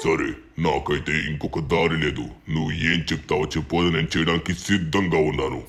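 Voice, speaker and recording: Very deep, low-pitched put-on character voice from a man. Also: moderate pace. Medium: machinima. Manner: forceful, commanding.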